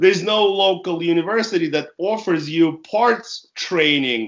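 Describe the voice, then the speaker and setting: A man speaks with a Russian accent. His pitch is high. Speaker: author and car business consultant. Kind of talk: interview.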